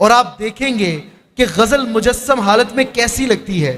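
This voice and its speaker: A man's extremely high-pitched voice with ordinary pitch variation. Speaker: mushaira host. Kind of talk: stage introduction and audience praise.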